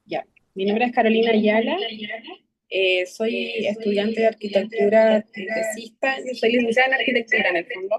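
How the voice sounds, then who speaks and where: A woman with an ordinary speaking voice talks at a moderate pace, at a fairly high pitch with ordinary pitch variation. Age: 40s. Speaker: architecture student. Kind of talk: self-introduction in class.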